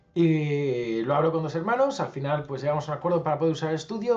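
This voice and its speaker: There is noticeable background noise as a man speaks at a very fast pace. His fairly high-pitched voice carries lively intonation. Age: 30s. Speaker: musician and youtuber. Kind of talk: casual interview.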